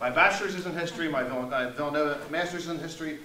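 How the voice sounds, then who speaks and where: With a Philadelphia accent and an animated tone, a man talks at a very fast pace and fairly high pitch over noticeable background noise. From US Northeast, Southwest Philadelphia. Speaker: market researcher and former history teacher. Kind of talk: presentation to an audience. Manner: loud.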